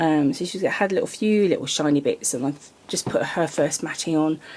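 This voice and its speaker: At a moderate pace, a woman is talking. She has a British accent. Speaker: reborn doll artist and vlogger. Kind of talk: casual vlog. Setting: home nursery workshop. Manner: hesitant with many ums.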